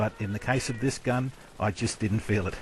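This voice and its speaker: A man with an Australian accent at a medium pitch, with ordinary pitch variation and noticeable background noise. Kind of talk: video game weapon commentary. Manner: well-spoken, teacher-like.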